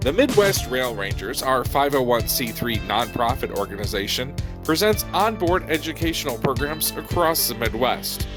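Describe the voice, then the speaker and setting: Speech at a fairly slow pace plays over music in the background. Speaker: rail program host. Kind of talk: program introduction.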